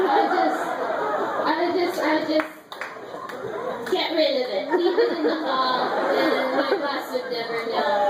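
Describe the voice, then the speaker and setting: With crowd noise in the background, a woman speaks at a high pitch. Her pace is fairly slow and her pitch swings are very wide. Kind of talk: live storytelling performance. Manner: comedic.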